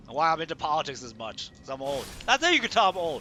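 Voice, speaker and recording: Noticeable background noise sits under a man talking at a fairly quick pace. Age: 30s. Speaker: streamer. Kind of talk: casual chat.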